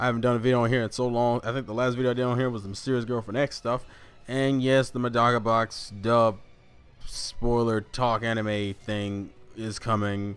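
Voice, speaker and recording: A man with an American accent, fairly quick and flat in a monotone, with music in the background. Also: medium pitch for a man. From US South. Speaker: anime YouTuber. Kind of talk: casual chat. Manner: casual, stumbling with repeated words.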